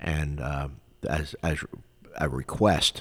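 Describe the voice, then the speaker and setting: Deep and very low in pitch, a man's voice carries vocal fry and an American accent. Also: very clean recording, silent background. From Philadelphia, Pennsylvania. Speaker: podcast host, retired police officer and military veteran. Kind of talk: personal monologue. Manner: hesitant, many fillers.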